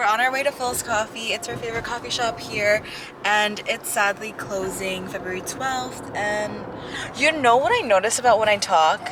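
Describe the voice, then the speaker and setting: A woman's fairly high voice, with ordinary pitch variation, moves at a moderate pace while noticeable background noise plays. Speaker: lifestyle vlogger. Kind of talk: casual vlog talk. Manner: uptalk, ends statements like questions.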